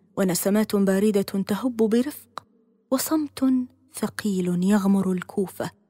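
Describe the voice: With ordinary pitch variation, the speaker reads the words aloud plainly.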